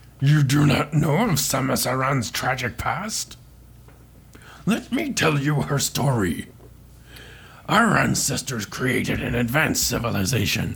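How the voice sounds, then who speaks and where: In a put-on character voice, a man with a medium pitch sounds wheezy, moving at a fairly slow pace with lively intonation over light background noise. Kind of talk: comic overacting. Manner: solemn storytelling, deadpan asides.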